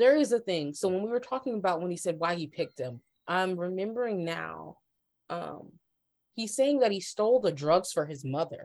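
Talking at a moderate pace in an American accent, a woman with a medium pitch makes very wide pitch swings on a very clean recording with a silent background. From Ohio, US Midwest. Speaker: journalist and freelance cultural writer. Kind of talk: casual chat.

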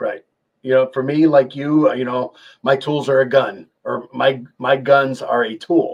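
A man with a plain, everyday voice talks at a fairly slow pace at a medium pitch. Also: fairly even intonation. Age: 50s. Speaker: parts manufacturer manager. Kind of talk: casual interview.

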